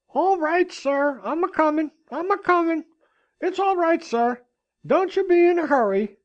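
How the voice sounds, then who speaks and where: This is a put-on character voice, shrill and extremely high in pitch. It moves at a moderate pace. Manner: eager.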